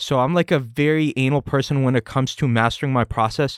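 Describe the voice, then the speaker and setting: A man's voice at medium pitch, an ordinary speaking voice with ordinary pitch variation and a moderate pace, in a very clean recording with a silent background and a dry, close sound with no echo. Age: 20s. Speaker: powerlifter and software salesman. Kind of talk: casual podcast interview.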